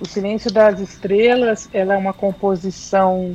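A woman's very slow delivery with fairly even intonation. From São Paulo city, Brazil. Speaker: MPB singer-songwriter. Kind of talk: radio interview.

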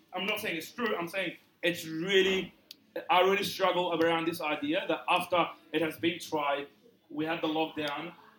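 A man talks in a high pitch with noticeable background noise around him. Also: fairly even intonation, moderate pace. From Egypt. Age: 20s. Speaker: church pastor. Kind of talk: live podcast interview. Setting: stage with audience. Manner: halting.

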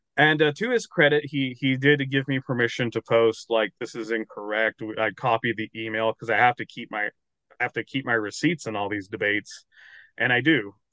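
Here is a man with an ordinary speaking voice and an American accent. He talks fairly quickly at a medium pitch with ordinary variation. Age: 30s. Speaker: novelist and paleoartist. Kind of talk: casual chat.

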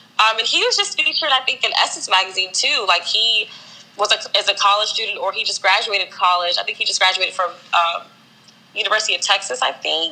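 A woman with an American accent talks at a very fast pace over noticeable background noise. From Maryland, Silver Spring. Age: 20s. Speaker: fashion stylist. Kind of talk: casual interview.

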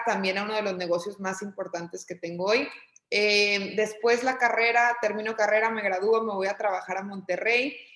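A woman speaks in an ordinary speaking voice, fairly high in pitch. Her intonation is fairly even and her pace is moderate. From Mexico, Torreón, Coahuila. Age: 30s. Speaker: entrepreneur and business consultant. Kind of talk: casual interview conversation.

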